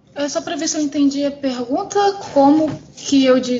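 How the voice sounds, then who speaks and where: Lively intonation marks this woman's high-pitched voice, set against noticeable background noise. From Campo Grande, West Zone of Rio de Janeiro, Brazil. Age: 20s. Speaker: art teacher and comic artist. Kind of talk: casual chat.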